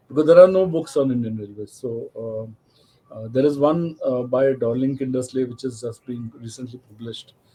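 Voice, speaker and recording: A man's medium-pitched voice, dark, mellow and somewhat breathy, moves at a moderate pace with ordinary pitch variation. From India. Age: 60s. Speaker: railway photographer and rail enthusiast. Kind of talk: interview.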